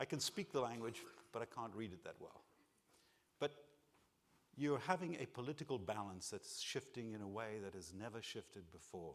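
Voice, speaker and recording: A man's medium-pitched voice at a moderate pace, lively in intonation, with big swings in loudness and long, frequent pauses. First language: not English. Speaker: keynote speaker. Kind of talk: conference keynote.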